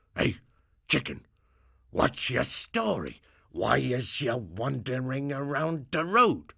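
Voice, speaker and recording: A man growls in a put-on character voice at a medium pitch, at a fairly slow pace with long, frequent pauses. The recording is very clean, with a silent background. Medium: read story.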